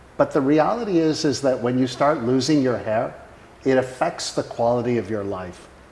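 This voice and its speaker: Using a plain, everyday voice, a man speaks at a moderate pace and medium pitch with ordinary pitch variation. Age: 60s. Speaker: company founder and healthcare executive. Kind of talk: product testimonial; casual conversation with spouse about their company.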